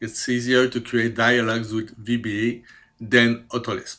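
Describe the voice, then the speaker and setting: Speaking with a Quebec accent, a man has a medium pitch and a bright, sharp tone. The recording is very clean, with a silent background. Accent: French Canadian accent in English. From Quebec, Canada. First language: French. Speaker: CAD programmer. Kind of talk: self-presentation. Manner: halting, many fillers.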